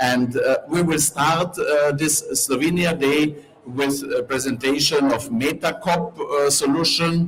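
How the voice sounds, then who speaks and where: Over music in the background and audible room echo, a man with a fairly high pitch talks at a fairly slow pace with hardly any pauses, fairly even intonation and very even loudness. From Carinthia, Austria (Slovene minority). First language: Slovene. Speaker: event host, civil society organizer. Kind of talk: event presentation. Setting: conference pavilion.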